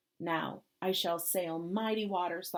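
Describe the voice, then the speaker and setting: Using a put-on character voice, a woman talks at a fairly slow pace with a fairly low pitch. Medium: read story.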